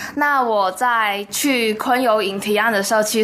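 A woman speaks over noticeable background noise. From Taiwan. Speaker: university student. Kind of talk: radio interview.

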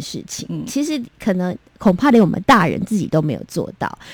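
On a very clean recording with a silent background, a woman at medium pitch talks at a moderate pace with hardly any pauses, using vocal fry, very wide pitch swings and big swings in loudness. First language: Taiwanese Hokkien (speaking Chinese). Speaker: children's music producer. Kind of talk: interview.

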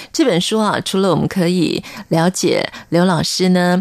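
A woman speaks at a fairly slow pace in a normal speaking voice. Her pitch sits in the medium range. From Taiwan, military dependents' village. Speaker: radio host. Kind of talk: radio interview.

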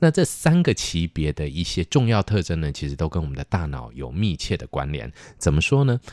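The speech moves at a fairly quick pace, with hardly any pauses and very wide pitch swings. The sound is dry and close with no echo, on a very clean recording with a silent background. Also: man, very deep, low pitch for a man. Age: 50s. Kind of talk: casual chat.

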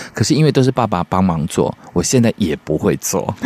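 A man speaks at a fairly quick pace and a fairly low pitch with lively intonation. The sound is dry and close with no echo, with noticeable background noise. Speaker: radio co-host. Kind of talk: radio show chat.

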